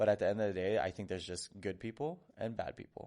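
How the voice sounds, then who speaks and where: A man with a Hawaiian accent against a quiet background. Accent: Hawaiian American English. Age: 30s. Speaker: dancer. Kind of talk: podcast interview. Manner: hesitant, many filler ums.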